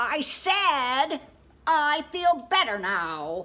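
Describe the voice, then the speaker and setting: Using a put-on character voice, a woman speaks high, raised and projected, with very wide pitch swings. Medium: read story.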